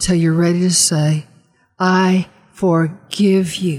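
Her voice sits at a medium pitch, dark and mellow in tone and somewhat breathy, as the woman speaks in a flat monotone. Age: 70s. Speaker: guest minister and author. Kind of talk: sermon-like ministry teaching.

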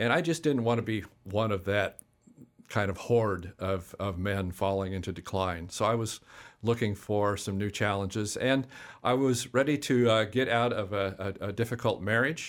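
A man talks at a moderate pace in a fairly low voice. His pitch varies in an ordinary way. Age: 60s. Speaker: management consultant and doctoral student. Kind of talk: interview. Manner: halting, many fillers.

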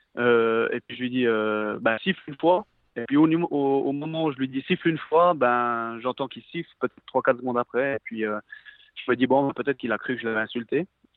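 A man's medium-pitched voice proceeds at a moderate pace with ordinary pitch variation. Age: 30s. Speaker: professional footballer. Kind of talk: interview. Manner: halting.

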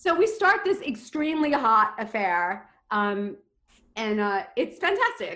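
A high-pitched woman with an American accent and very wide pitch swings. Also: fairly slow pace. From New York (Queens). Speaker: storyteller, theater actress and dancer. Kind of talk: personal storytelling.

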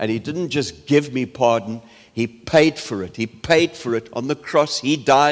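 Very slow speech from a man at a medium pitch, its pitch moving in an ordinary way. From South Africa. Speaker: preacher. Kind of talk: sermon.

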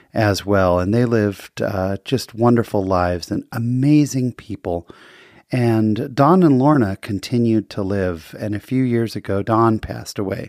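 A man's normal speaking voice, fairly low in pitch with ordinary pitch variation, at a fairly slow pace, dry and close with no echo, in a very clean recording with a silent background. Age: 40s. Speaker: podcast host. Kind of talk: casual interview and solo monologue. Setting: studio.

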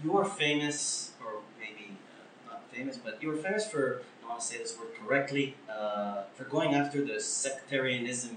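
With an Israeli accent and a fairly high pitch, a man talks fairly slowly with lively intonation and big swings in loudness, against noticeable background noise. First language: Hebrew. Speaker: podcast host. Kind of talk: interview; casual chat.

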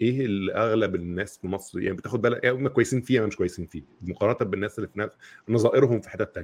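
At a very fast pace, a man with a fairly low pitch speaks with ordinary pitch variation. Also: big swings in loudness. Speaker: podcast host. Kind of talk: casual chat.

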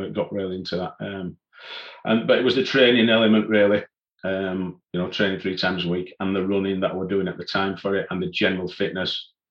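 Here a man speaks in a Yorkshire accent at a fairly low pitch. His pace is fairly quick. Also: fairly even intonation. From northern England, Leeds. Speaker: mountain leader and climbing instructor. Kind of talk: casual interview, personal story.

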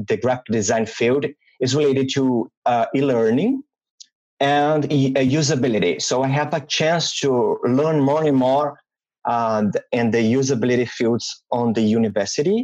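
A man speaks at medium pitch with a Portuguese accent. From Brazil. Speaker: UX designer. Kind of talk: interview. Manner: halting.

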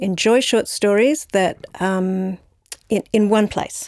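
A woman with an Australian accent, very slow pace and ordinary pitch variation, in a dry, close sound with no echo. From Australia, Brisbane. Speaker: novelist. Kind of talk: interview. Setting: library recording.

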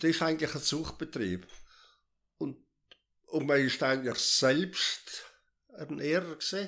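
A man speaks fairly slowly, leaving long, frequent pauses. His fairly high voice has a bright, sharp tone, vocal fry and ordinary pitch variation. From South Tyrol. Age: 80s+. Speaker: retired farmer. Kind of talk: life story interview.

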